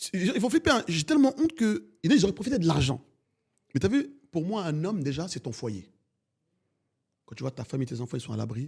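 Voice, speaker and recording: Animated and high-pitched, a man talks at a fairly quick pace with very wide pitch swings, big swings in loudness and long, frequent pauses. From France. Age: 40s. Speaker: bus company owner. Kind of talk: interview.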